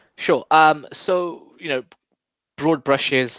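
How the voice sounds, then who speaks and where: At a fairly slow pace, a man with a British accent speaks with ordinary pitch variation, the sound dry and close with no echo over a quiet background. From England. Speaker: think-tank coordinator and author. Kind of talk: casual interview. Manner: halting with frequent fillers.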